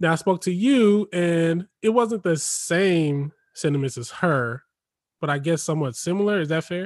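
The speech moves at a moderate pace on a very clean recording with a silent background, dry and close with no echo. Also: man, high pitch for a man, lively intonation. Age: 30s. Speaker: podcast host. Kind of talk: casual chat.

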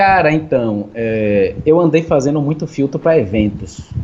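His voice is somewhat breathy, and his pitch swings very widely. The man talks at a fairly slow pace. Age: 40s. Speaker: filter creator and music producer. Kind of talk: casual chat.

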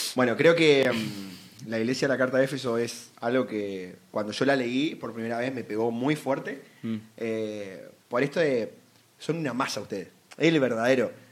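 A man with a plain, everyday voice talks at a moderate pace, keeping a medium pitch and ordinary pitch variation. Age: 20s. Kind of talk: casual Bible discussion.

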